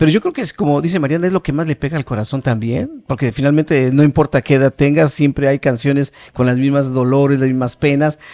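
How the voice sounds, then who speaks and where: Very fast pace with hardly any pauses from a man with a fairly high pitch and ordinary pitch variation, against a quiet background. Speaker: podcast co-host, channel director. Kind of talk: casual interview. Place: studio. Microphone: studio mic.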